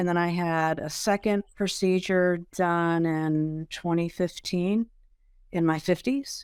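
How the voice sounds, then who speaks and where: A woman with an American accent speaks very slowly at a fairly low pitch. Her intonation stays fairly even on a very clean recording with a silent background. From Maryland, US. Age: 60s. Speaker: liposuction patient, competitive bodybuilder. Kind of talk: podcast interview.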